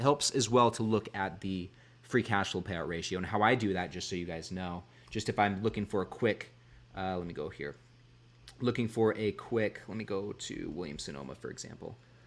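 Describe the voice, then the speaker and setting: Talking at a fairly quick pace, a man with a fairly low pitch and ordinary pitch variation shows big swings in loudness. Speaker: investing streamer. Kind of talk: live stream chat reading viewer comments. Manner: halting, frequent restarts and fillers. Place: home room. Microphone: studio mic.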